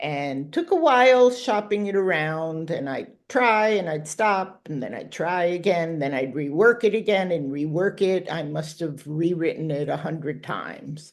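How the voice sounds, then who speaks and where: A woman with an unremarkable speaking voice talks at a moderate pace with hardly any pauses. Her fairly low pitch carries lively intonation against a quiet background. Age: 60s. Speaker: author. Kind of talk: interview.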